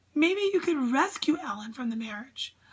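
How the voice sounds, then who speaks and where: A woman does a put-on character voice, high in pitch with very wide pitch swings. She keeps a moderate pace. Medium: read story.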